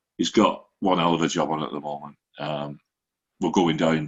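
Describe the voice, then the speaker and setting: This man speaks at a moderate pace with a very deep, low pitch and a Lancashire accent. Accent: Lancashire (Wigan) English. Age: 60s. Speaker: football fan podcaster. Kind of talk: casual chat.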